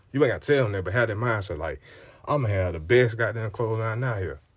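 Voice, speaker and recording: On a very clean recording with a silent background, a man speaks at a fairly quick pace in an animated, somewhat breathy tone. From US South, Montgomery, Alabama. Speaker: podcast host. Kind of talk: motivational monologue.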